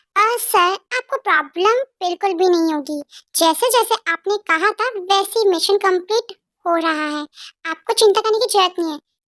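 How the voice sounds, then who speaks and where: Extremely high pitch in a put-on character voice, delivered at a moderate pace. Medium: read story. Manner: hesitant, polite.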